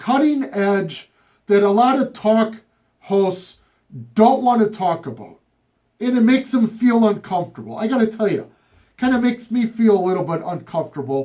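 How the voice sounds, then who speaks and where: At a moderate pace, a man speaks with ordinary pitch variation in a high-pitched voice that is dark and mellow in tone. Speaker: radio talk show host and trial attorney. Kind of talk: talk radio monologue. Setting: radio studio.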